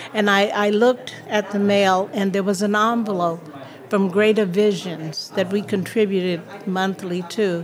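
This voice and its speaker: A woman with an American accent speaks at a fairly slow pace and a medium pitch. Her intonation is fairly even, with noticeable background noise behind her. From New York (Harlem), later Miami and Peekskill. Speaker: minister and housing nonprofit director. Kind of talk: radio interview. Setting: live broadcast from a hotel awards dinner.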